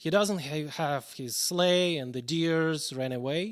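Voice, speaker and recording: A man with a fairly high pitch speaks very slowly. His pitch varies in an ordinary way. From Russia. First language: Russian. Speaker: pianist. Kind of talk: live stream introduction.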